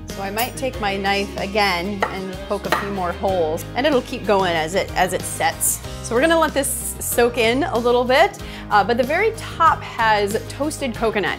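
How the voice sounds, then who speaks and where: Woman at a moderate pace with hardly any pauses, clear music in the background. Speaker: cooking show host. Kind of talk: tutorial. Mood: cheerful and friendly. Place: kitchen.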